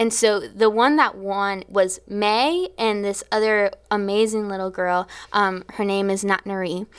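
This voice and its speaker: This woman has an unremarkable speaking voice at medium pitch, talking at a fairly slow pace with fairly even intonation and hardly any pauses. The recording is very clean with a silent background. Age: 20s. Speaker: church worship leader. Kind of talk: casual interview testimony.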